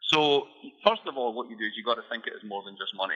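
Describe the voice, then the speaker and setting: A man speaks with a Scottish accent. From Scotland. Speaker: economist and author. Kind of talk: interview. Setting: radio show.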